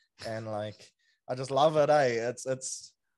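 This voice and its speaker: The New Zealand accent is clear. It belongs to a man. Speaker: sports podcaster. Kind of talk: casual chat. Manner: casual, slang-heavy.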